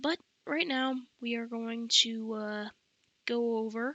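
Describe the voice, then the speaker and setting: Her voice sits at a fairly high pitch. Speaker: book reviewer. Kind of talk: casual monologue.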